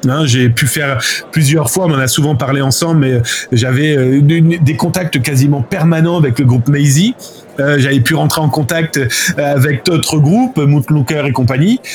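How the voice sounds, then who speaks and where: Against noticeable background noise, a man talks fairly slowly at a fairly high pitch, with ordinary pitch variation and very even loudness. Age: 40s. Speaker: journalist and cybercrime researcher. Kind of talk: interview. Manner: animated, with many fillers.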